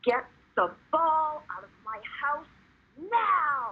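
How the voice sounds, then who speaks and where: Putting on a character voice, a woman speaks very slowly and high, with very wide swings in pitch. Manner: shouting, furious.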